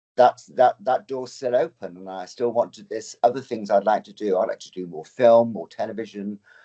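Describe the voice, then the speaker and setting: Speaking in an English accent at a fairly quick pace, a man keeps a medium pitch with ordinary pitch variation. His loudness swings widely. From England, Oxfordshire. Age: 60s. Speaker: drag performer and dancer. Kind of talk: interview conversation.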